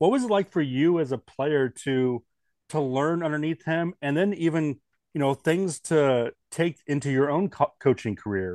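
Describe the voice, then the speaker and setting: With an American accent, a man has an ordinary speaking voice at a fairly high pitch, talking at a moderate pace with lively intonation. The sound is dry and close with no echo, against a quiet background. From US Northwest. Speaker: baseball podcast host. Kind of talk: podcast interview.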